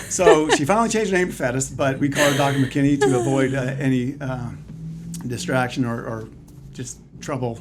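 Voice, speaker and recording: A man talks fairly quickly, his pitch varying in an ordinary way, while audible room echo and noticeable background noise fill the recording. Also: medium pitch for a man. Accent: slight Canadian. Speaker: chiropractor. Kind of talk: casual interview.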